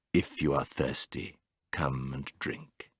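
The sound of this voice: Putting on a character voice, a man talks at a very deep, low pitch and a fairly slow pace.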